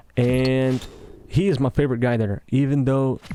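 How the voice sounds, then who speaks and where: A man speaks at a medium pitch with a slight Russian accent. His pace is fairly slow. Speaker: gaming commentator. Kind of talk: casual monologue over gameplay. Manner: halting, self-correcting.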